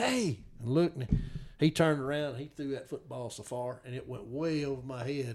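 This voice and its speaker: This is a man speaking with a Mississippi accent. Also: very clean recording, silent background. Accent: Mississippi Southern. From Mississippi, Noxubee County. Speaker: turkey hunting guide. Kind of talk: casual chat.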